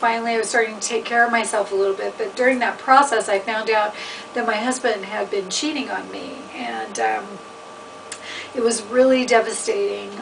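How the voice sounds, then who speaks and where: Through noticeable background noise, a woman with a fairly high pitch speaks at a moderate pace and with fairly even intonation. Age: 50s. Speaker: chef and writer. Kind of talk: personal testimony. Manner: casual, hesitant with fillers.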